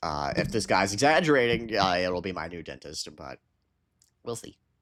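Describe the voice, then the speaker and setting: A man shouts with lively intonation at a moderate pace. The recording is very clean, with a silent background. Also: big swings in loudness. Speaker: streamer. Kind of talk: casual live stream chat. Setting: live stream with headset. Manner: stuttering, halting; loud, yelling.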